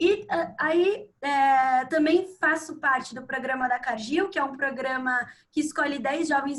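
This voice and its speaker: A woman talks at a fairly slow pace. Her pitch is high, and it varies in an ordinary way. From Brazil, Sorocaba, São Paulo state. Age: 20s. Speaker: economics student. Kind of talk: webinar conversation.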